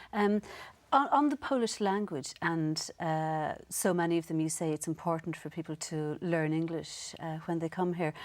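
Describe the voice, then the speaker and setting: Speaking with an Irish accent, a woman has a fairly low pitch and ordinary pitch variation. She keeps a moderate pace on a very clean recording with a silent background. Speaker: TV presenter. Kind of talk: interview.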